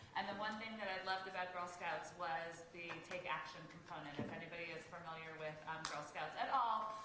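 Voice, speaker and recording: Fairly quick, fairly low female voice with hardly any pauses, fairly even intonation, audible room echo, and noticeable background noise. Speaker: nonprofit deputy director. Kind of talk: talk to an audience.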